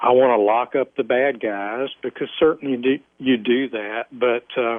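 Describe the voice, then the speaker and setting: A man's medium-pitched voice with a Southern US accent, fairly slow in pace and fairly even in intonation. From US South, Alabama. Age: 50s. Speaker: former police officer. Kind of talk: interview testimony.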